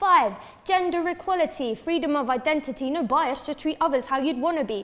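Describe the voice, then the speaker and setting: The intonation is lively, heard over noticeable background noise. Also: woman. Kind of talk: spoken word poetry performance.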